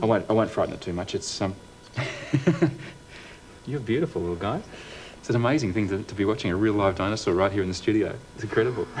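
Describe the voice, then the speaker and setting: A man with a fairly low pitch talks very fast, with ordinary pitch variation. He takes long, frequent pauses amid noticeable background noise. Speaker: TV presenter. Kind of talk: TV science segment presentation.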